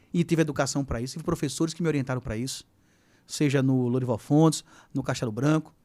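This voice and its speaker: A man speaks in an animated tone at a fairly high pitch, his pitch varying in an ordinary way, on a very clean recording with a silent background. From Brazil, Sergipe. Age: 40s. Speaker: teacher and political candidate. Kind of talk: podcast interview. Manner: animated storytelling.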